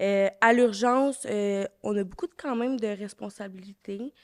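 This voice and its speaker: The sound is dry and close, without any echo. A woman talks fairly slowly. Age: 20s. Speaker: patient care attendant. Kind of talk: casual interview. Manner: hesitant, many fillers.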